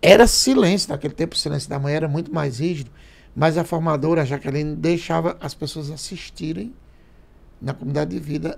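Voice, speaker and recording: Somewhat breathy, a man with a fairly high pitch talks at a fairly quick pace with ordinary pitch variation. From Paraíba, Brazilian Northeast. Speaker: priest podcast guest. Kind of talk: casual chat. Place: studio. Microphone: studio mic.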